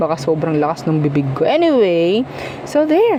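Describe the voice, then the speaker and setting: Loud and at a fairly slow pace, a woman speaks with very wide pitch swings over noticeable background noise. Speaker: tarot reader. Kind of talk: tarot reading, casual monologue. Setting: at home, noise outside earlier. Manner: casual, chatty; softer now, was loud earlier.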